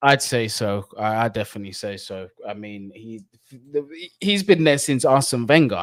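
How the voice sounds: A man speaks with a fairly low pitch. His intonation is lively. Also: moderate pace.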